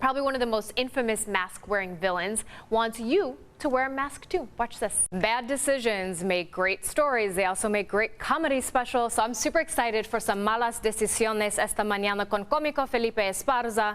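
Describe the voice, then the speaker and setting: A woman speaks at a fairly high pitch and a fairly quick pace, with hardly any pauses. It is an unremarkable speaking voice, with very even loudness and ordinary pitch variation. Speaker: television news anchor. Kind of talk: TV news anchor reel. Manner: upbeat, bubbly, playful.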